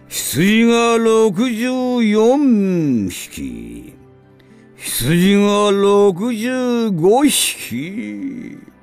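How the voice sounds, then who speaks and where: Over music in the background, a man with a high pitch and ordinary pitch variation speaks at a very slow pace. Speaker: voice actor. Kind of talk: counting sheep for sleep. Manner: slow, counting.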